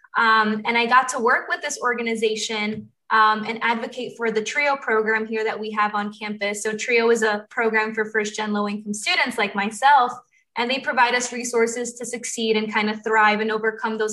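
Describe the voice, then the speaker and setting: Her pitch fairly high and her intonation fairly even, a woman speaks at a fairly quick pace. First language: Spanish. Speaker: undergraduate student panelist. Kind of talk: student panel talk. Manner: frequent 'um' fillers.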